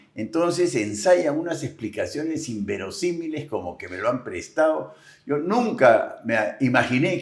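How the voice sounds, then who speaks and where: Speaking at a fairly slow pace, a man with a fairly high pitch shows very wide pitch swings, big swings in loudness and vocal fry. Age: 70s. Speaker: agricultural businessman and political commentator. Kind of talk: interview.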